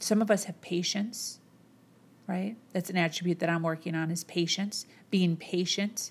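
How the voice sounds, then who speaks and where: A somewhat breathy woman's voice with an American accent, medium pitch and fairly even intonation. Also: moderate pace. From US Midwest, Chicago. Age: 30s. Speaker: motivational podcast host. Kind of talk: motivational monologue. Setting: home, camera on boxes.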